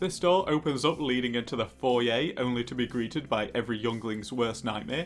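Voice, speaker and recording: A man's voice at medium pitch over music in the background. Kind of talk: comedic product review narration. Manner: dry, jokey.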